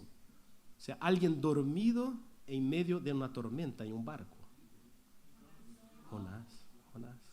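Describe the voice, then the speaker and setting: A man at a very slow pace, with very wide pitch swings and audible room echo. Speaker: pastor. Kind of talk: sermon.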